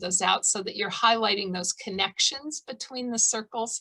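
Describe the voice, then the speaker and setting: A woman's American-accented voice at a moderate pace with fairly even intonation. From Colorado, Boulder County. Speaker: artist giving a demo. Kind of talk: art demonstration tutorial. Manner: casual, hesitant with fillers.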